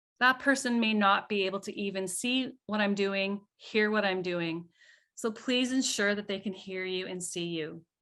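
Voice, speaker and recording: A woman with a plain, everyday voice talks at a moderate pace and medium pitch, with ordinary pitch variation, in a very clean recording with a silent background. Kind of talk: lecture.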